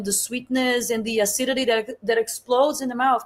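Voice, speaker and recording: A woman's high voice at a moderate pace, in a Portuguese accent with monotone, flat intonation. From Brazil. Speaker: chef and food entrepreneur. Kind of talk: interview conversation. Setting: live stream.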